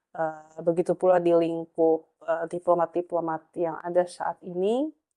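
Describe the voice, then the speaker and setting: With a dry, close sound and no echo, a woman speaks at a fairly slow pace in a dark, mellow tone with a fairly low pitch and monotone, flat intonation. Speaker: youth organization leader. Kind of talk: interview. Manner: many fillers, mixes in English.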